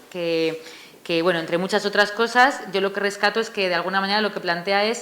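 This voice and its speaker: A woman talks at a very fast pace with a medium pitch and fairly even intonation. Noticeable background noise can be heard. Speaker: author presenting her book. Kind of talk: book presentation talk. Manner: hesitant, many fillers.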